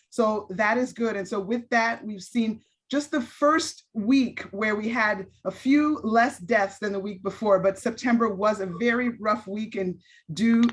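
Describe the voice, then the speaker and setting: Somewhat breathy and fairly high-pitched, a woman with an American accent speaks at a fairly slow pace with ordinary pitch variation. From Los Angeles, US West Coast. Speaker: public health director and physician. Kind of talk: public talk, interview.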